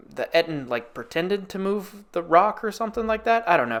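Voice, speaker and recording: A man speaks at a fairly quick pace. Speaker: gaming YouTuber and streamer. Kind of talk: casual video game review monologue. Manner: animated, energetic.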